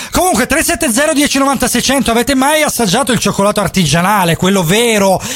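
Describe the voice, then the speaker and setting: With hardly any pauses, a man with an extremely high voice keeps his loudness very even while his intonation stays lively, over noticeable background noise. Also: moderate pace. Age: 30s. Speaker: radio host. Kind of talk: casual radio chat. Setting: radio studio, live broadcast. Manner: animated.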